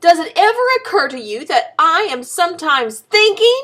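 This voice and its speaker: A woman's squeaky, put-on character voice at an extremely high pitch with very wide pitch swings. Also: moderate pace. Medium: read story. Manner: understated, even.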